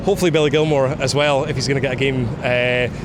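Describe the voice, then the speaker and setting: A man talks very fast in a Scottish accent at a fairly high pitch. Audible room echo and noticeable background noise are present. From Scotland. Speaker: football fan. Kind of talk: casual chat. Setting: outdoors. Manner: animated.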